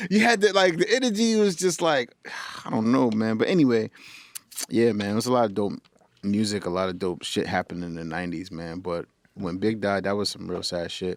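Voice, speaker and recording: Someone talks at a fairly quick pace with a New York accent. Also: man. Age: 30s. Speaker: podcast host and music artist. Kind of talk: casual chat. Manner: animated.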